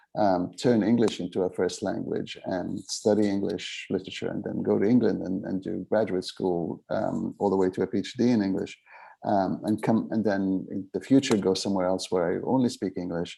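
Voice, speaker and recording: Against a quiet background, a man with an Arabic accent speaks at a moderate pace with fairly even intonation. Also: fairly low pitch for a man, hardly any pauses. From Middle East (born in Aden, Yemen; raised in Beirut and Cairo). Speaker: memoirist and author. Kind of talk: literary festival conversation. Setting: literary festival event. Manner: halting, many fillers and restarts.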